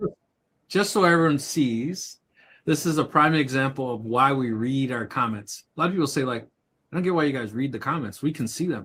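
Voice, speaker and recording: The recording is very clean with a silent background. A man speaks fairly quickly in a fairly high pitch with a bright, sharp tone. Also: ordinary pitch variation. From Kentucky. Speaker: livestream co-host. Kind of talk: casual chat.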